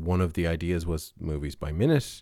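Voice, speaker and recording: A man with an Irish accent and a dark, mellow tone, in a very clean recording over a silent background. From Ireland. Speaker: podcast host. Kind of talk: casual monologue. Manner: hesitant, with fillers.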